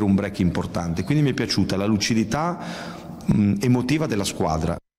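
A man with a fairly low voice is heard against noticeable background noise. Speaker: sports journalist. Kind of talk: casual chat. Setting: studio.

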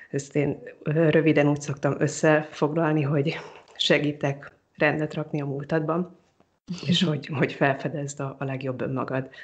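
A monotone, flat voice speaks at a moderate pace over a quiet background. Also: woman, very deep, low pitch for a woman. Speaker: psychologist. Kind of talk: interview. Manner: hesitant repetitions.

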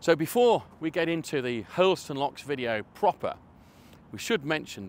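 The man's voice swings very widely in pitch at a fairly quick pace, with a dry sound with no echo and light background noise. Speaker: canal vlogger. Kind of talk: casual vlog chat. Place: waterside. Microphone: lapel.

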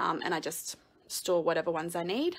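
With an Australian accent, a woman speaks in a bright, sharp tone. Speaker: crafting video creator. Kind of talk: live-streamed room tour. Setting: at home, live video. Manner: casual, many fillers. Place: home room. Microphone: phone near.

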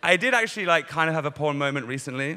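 The background stays quiet. The man's tone is bright and sharp. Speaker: stand-up comedian. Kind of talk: stand-up comedy routine. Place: stage. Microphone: handheld.

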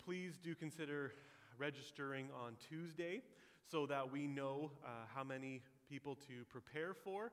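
At a moderate pace, the pitch moves in an ordinary way. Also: man. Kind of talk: church announcements. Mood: warm, upbeat. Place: church.

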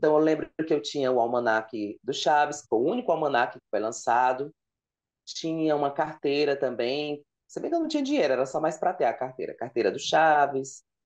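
A man talks fairly high in pitch, varying it in an ordinary way against a quiet background. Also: fairly quick pace, big swings in loudness. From Ceará, Brazil (Fortaleza); Ceará, Brazil. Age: 30s. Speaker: content creator on sitcom trivia; podcast guest. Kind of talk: casual interview chat. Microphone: earbuds.

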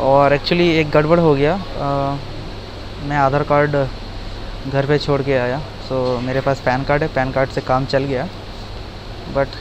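A man talks in a monotone, flat way over noticeable background noise. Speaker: travel vlogger. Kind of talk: casual vlog chat. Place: station. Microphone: earbuds.

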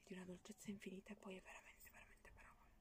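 A woman is whispering. She talks at a very fast pace. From Italy. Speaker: ASMR YouTuber. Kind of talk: casual talk to camera, book presentation. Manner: whispered, soft-spoken. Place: home room.

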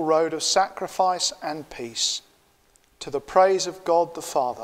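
A man with a fairly high pitch speaks at a slow pace, his intonation lively.

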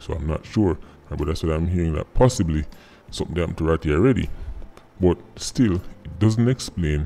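A man's very deep, low voice, dark and mellow in tone, at a fairly quick pace. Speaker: commentary vlogger. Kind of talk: commentary. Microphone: phone near.

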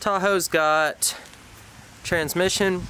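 A man speaks in a dry recording with no echo and a little background noise. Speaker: car hobbyist vlogger. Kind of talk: casual vlog chat. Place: street. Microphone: phone near.

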